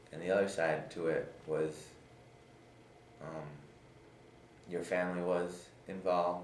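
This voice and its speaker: The intonation stays monotone and flat, with noticeable noise in the background. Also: man. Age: 20s. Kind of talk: interview answer. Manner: stutters.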